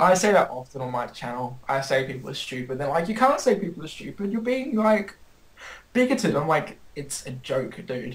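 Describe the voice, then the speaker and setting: In an Australian accent, a man with a fairly high pitch speaks at a moderate pace, his pitch swinging very widely. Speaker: anime YouTuber. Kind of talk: casual chat.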